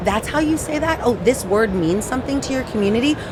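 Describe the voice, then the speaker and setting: Against noticeable background noise, a woman speaks at a very fast pace. Her high pitch carries lively intonation. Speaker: AI specialist, technologist. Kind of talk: podcast interview. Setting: podcast booth at a trade show. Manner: animated.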